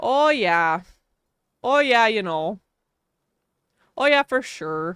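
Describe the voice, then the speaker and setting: A woman with a strong Wisconsin accent talks at a very slow pace, leaving long, frequent pauses, her fairly high voice making very wide pitch swings. The sound is dry and close with no echo, on a very clean recording with a silent background. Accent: strong Wisconsin Midwestern. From Wisconsin, US Midwest. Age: 20s. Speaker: streamer. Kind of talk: live-stream gaming chat. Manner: animated.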